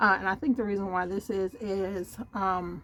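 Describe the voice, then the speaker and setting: The voice has ordinary pitch variation and keeps a fairly slow pace. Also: woman. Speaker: budgeting vlogger. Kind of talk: casual tutorial walkthrough. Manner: halting, many fillers.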